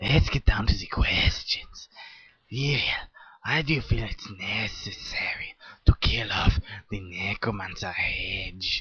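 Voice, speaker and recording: A cartoonish character voice in a whisper, at a fairly slow pace. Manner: formal, prissy.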